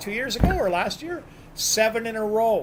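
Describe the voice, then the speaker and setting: In a Canadian accent, a man speaks in a raised, projected voice. His pitch is high and varies in an ordinary way. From New Brunswick, Canada. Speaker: bowler. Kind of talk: casual chat.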